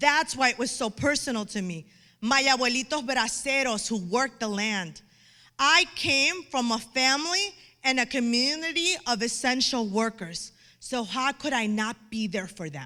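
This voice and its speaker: Raised and projected, a woman's voice carries a Chicago accent, a bright, sharp, animated tone, high pitch, and lively intonation. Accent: Chicago American English. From Chicago, Pilsen neighborhood (Mexican American). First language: Spanish. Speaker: physician, allergist immunologist. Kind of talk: inspirational talk. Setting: stage with audience.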